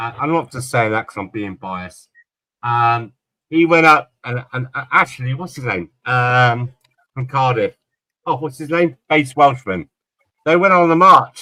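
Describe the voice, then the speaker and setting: The voice has a bright, sharp tone and lively intonation, delivered at a fairly slow pace. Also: man. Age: 60s. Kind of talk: casual chat.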